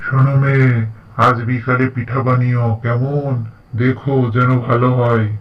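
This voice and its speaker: A man in a cartoonish character voice speaks at a very slow pace and medium pitch with monotone, flat intonation. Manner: gruff, commanding.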